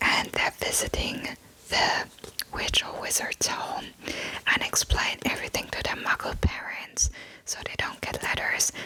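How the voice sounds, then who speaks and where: Noticeable background noise sits beneath the voice. The words are whispered at a fairly slow rate. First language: German. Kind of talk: casual talk to listener.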